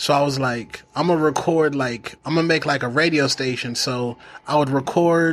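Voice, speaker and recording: Using a plain, everyday voice, a man talks at a moderate pace and a fairly high pitch. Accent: American. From Phoenix, Arizona. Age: 40s. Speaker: broadcaster and former rapper. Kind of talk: casual chat. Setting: studio.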